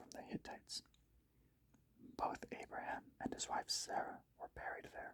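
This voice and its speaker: A man is speaking. He whispers. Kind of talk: Bible reading, ASMR. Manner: whispered, slow.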